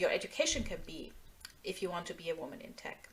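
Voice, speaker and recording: A woman with a German accent. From Nigeria (Lagos), German-speaking family. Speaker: tech security engineer and speaker. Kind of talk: online presentation.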